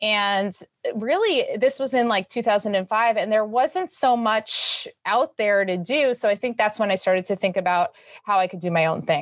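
With an American accent and a plain, everyday voice, a woman speaks at a moderate pace in a fairly high pitch, her intonation lively over a quiet background. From New York City. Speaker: fitness entrepreneur. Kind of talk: interview.

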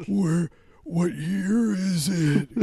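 A man performs a put-on character voice at a high pitch. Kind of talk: put-on old man voice.

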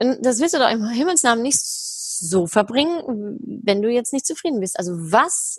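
Pitched high, a woman's voice swings very widely up and down. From Germany, Heidelberg. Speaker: happiness researcher and speaker. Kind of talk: interview.

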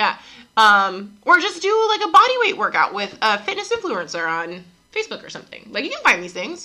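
A woman projects her high-pitched voice loudly, her bright, sharp tone swinging very widely in pitch. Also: big swings in loudness. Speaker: gym owner and fitness coach. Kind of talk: casual chat podcast. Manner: fast talker.

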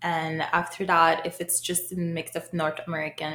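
This woman's voice is very deep and low in pitch. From Haiti. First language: Haitian Creole / French. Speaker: home cook. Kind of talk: interview.

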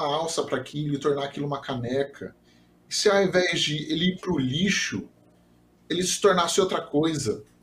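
A man's fairly high-pitched voice comes across somewhat breathy. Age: 30s. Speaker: software developer and 3D printing enthusiast. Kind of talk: casual interview.

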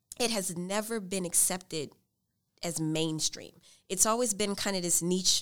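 With an American accent and a normal speaking voice, a woman speaks at a fairly low pitch and a moderate pace with ordinary pitch variation, in a very clean recording with a silent background. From US South, New Orleans. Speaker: PhD student and talk show host. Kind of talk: casual interview. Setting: on campus recording.

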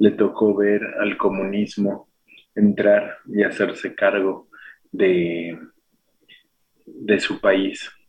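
Speaking very slowly, a man talks in a Mexico City accent. Long, frequent pauses break up his speech. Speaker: radio host. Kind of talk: radio talk and poetry reading. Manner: halting, with repetitions.

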